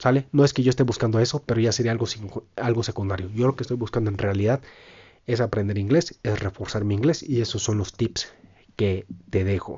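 A man talks at a fairly quick pace and medium pitch. His voice is somewhat breathy, with ordinary pitch variation. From Mexico, Michoacán (Puruándiro). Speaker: podcaster. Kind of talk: casual monologue.

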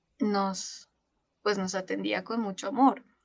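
Speaking at a very slow pace, the woman keeps her intonation fairly even. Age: 20s. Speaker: social worker and bereaved mother. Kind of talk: testimony.

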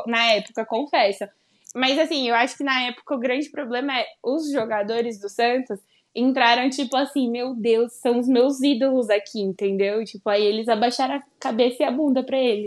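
The background is quiet. A woman with a high-pitched voice speaks at a moderate pace. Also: fairly even intonation. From Brazil, Baixada Santista (São Paulo coast). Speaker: football podcaster. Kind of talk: casual chat.

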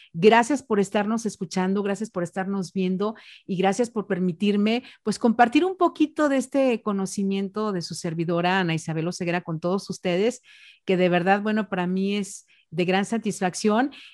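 A woman with an unremarkable speaking voice talks at a moderate pace and medium pitch with ordinary pitch variation, in a dry, close sound with no echo on a very clean recording with a silent background. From Mexico, Jalisco (Ciudad Guzmán). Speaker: radio announcer. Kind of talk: interview on public speaking.

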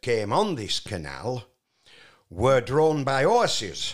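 With a Yorkshire accent, a man speaks at a very slow pace on a very clean recording with a silent background. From Yorkshire, Barnoldswick (West Riding). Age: 80s+. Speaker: retired truck driver. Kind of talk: casual chat. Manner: halting.

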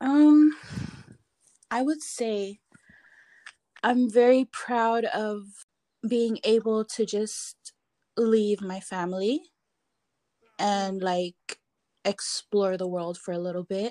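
A woman with a fairly high pitch and a dark, mellow tone speaks at a very slow pace with long, frequent pauses and ordinary pitch variation, in a dry, close sound with no echo. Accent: Palauan. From Palau. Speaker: artist and entrepreneur. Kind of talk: casual interview.

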